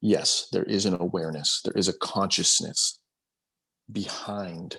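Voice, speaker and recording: A soft-spoken man talks at a fairly slow pace. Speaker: spiritual discussion group host. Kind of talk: group video call discussion. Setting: video call. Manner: halting, many repetitions.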